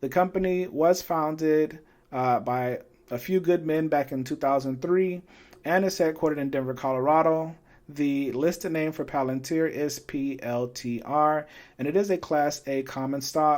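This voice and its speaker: Here is an ordinary speaking voice at a moderate pace. The background is silent and the recording very clean. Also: man, fairly high pitch for a man, fairly even intonation. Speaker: finance YouTuber. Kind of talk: tutorial. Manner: casual, some filler words.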